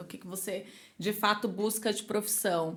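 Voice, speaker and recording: This woman has a fairly high pitch. She speaks at a moderate pace. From São Paulo, Brazil. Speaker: marketing executive. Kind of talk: podcast interview. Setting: studio podcast, drinking wine. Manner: casual, conversational.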